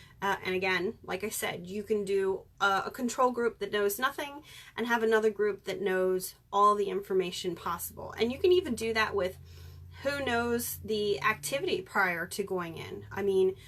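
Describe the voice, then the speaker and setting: An unremarkable speaking voice from a woman, medium in pitch, at a moderate pace with ordinary pitch variation. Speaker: paranormal investigator. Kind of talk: live stream talk. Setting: live video stream.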